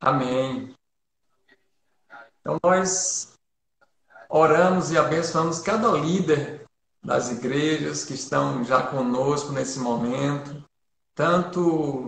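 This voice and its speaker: This man's voice is fairly high in pitch. His pitch varies in an ordinary way. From Bahia, Brazil (Feira de Santana). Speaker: pastor. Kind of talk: church livestream talk and prayer. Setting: online livestream. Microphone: too quiet.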